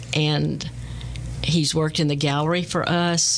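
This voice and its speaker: A woman speaks fairly slowly in a very deep, low voice with an American accent. Noticeable background noise runs underneath. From Texas. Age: 70s. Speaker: artist and radio host. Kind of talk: interview. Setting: studio.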